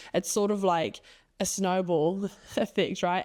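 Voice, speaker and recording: Over a very clean recording with a silent background, a woman with an American accent speaks at a moderate pace in a fairly low pitch, her tone dark and mellow. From New Zealand. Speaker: podcast host. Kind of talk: solo podcast monologue. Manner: animated.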